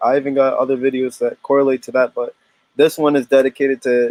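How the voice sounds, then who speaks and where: The voice has a dark, mellow tone and a monotone, flat intonation in an American accent, with a dry, close sound and no echo. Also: man. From US Northeast, Connecticut (New Haven area). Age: 20s. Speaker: photographer. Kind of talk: interview. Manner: casual, halting with fillers.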